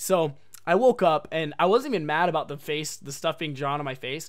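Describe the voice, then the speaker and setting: A man with an American accent speaks at a fairly quick pace in an animated tone with ordinary pitch variation, recorded very cleanly against a silent background. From Oregon, US. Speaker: podcast host. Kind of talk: casual chat.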